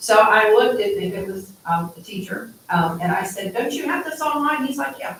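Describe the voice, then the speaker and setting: A woman talks with very wide swings in pitch amid noticeable background noise. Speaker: school board member. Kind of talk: public meeting discussion. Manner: fast.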